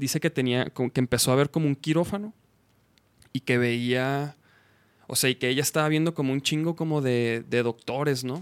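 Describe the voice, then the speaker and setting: An unremarkable speaking voice, a man's, moves at a fairly quick pace with a fairly high pitch and ordinary pitch variation, the sound dry and close with no echo. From Chihuahua, Mexico. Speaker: podcast host. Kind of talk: casual chat. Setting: live stream. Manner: informal, slangy.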